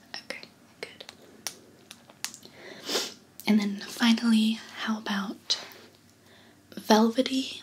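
A soft-spoken woman whispering in a gentle tone, with light background noise. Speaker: perfume consultant roleplay host. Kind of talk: soft-spoken roleplay chat. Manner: soft-spoken, gentle near-whisper. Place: home room.

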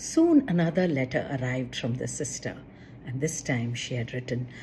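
The voice has a dark, mellow tone, moving at a moderate pace with ordinary pitch variation. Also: woman, extremely low pitch for a woman.

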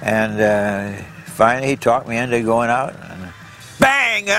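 The speaker has an American accent and a fairly slow pace. Noticeable background noise runs underneath. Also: man. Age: 90s. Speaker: barefoot water skier. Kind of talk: interview answer. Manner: reflective, conversational.

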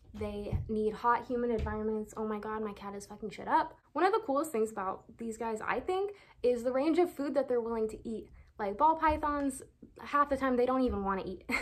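Speech with an American accent comes at a fairly quick pace with lively intonation. The loudness swings widely. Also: woman, high pitch for a woman. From Oxnard, California. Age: 20s. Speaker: snake keeper. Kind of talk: casual talk to camera. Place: home room. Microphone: phone near.

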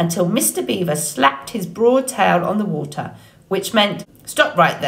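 Lively intonation in plain reading aloud

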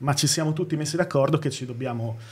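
A very fast pace with fairly even intonation. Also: man. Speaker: YouTuber. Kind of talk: casual chat. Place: studio. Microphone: studio mic.

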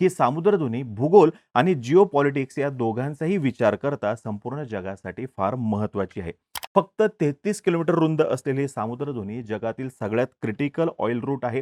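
A man talks at a moderate pace with medium pitch and lively intonation. His tone is slightly mellow, and the sound is dry and close with no echo.

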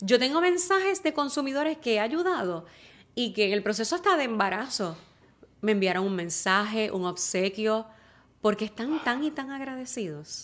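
This woman's fairly high voice moves at a moderate pace through very wide pitch swings. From Puerto Rico. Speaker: TV news reporter. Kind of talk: interview conversation. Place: studio. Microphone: studio mic.

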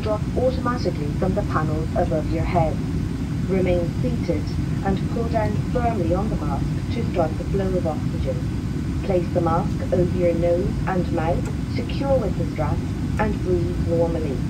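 Through loud background noise, a woman speaks at a moderate pace. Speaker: cabin crew announcer. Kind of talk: safety announcement. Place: plane.

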